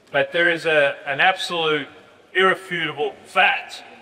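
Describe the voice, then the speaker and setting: A man with an Australian accent at a moderate pace, his intonation fairly even, over noticeable background noise. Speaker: basketball coach. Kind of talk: lecture. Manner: halting.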